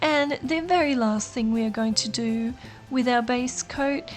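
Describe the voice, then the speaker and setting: Someone with an Australian accent talks at a fairly slow pace over noticeable background noise. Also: woman. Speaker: nail art YouTuber. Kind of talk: tutorial. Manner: casual, chatty.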